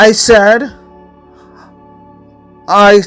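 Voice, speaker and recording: With music in the background, a woman speaks at a fairly high pitch with a Latin American accent. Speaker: life coach. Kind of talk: personal motivational story.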